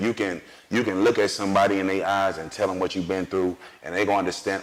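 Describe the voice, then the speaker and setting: A man with a fairly low pitch talks at a fairly quick pace, with noticeable background noise. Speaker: singer. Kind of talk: interview. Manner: animated.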